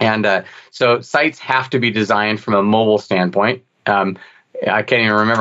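Man with a normal speaking voice, fairly low in pitch, at a moderate pace with fairly even intonation. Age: 50s. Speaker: dental marketing executive. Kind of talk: interview.

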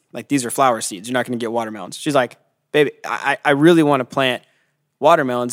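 A man with an American accent talks at a very fast pace, his pitch medium and its variation ordinary. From California. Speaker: pastor. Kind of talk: casual chat.

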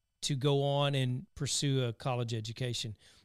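With a Southern US accent, a man speaks at medium pitch and a moderate pace with fairly even intonation on a very clean recording with a silent background. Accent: Southern twang. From US South. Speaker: podcast host. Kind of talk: casual interview conversation.

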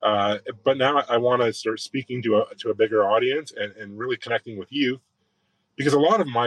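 This man talks at a fairly quick pace with a Canadian accent, in an ordinary speaking voice. His pitch is medium with ordinary variation, and the sound is dry and close with no echo. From southwestern Ontario, Canada. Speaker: sheet metal worker and trades advocate. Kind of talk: interview.

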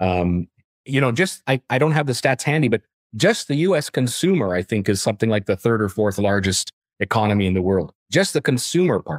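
A man with a Canadian accent, medium pitch, very wide pitch swings, and a fairly quick pace. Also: dry, close sound with no echo. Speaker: portfolio manager. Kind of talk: interview. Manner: hesitant, many fillers and repeats.

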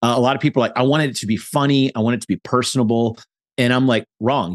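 The sound is dry and close with no echo as a man talks very fast in a medium pitch. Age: 40s. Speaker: copywriter and marketing consultant. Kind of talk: casual interview. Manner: animated.

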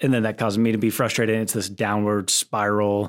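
Recorded very cleanly against a silent background, a man speaks fairly quickly at a fairly low pitch. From Texas (Plano). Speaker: camp ministry director. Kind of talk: podcast interview.

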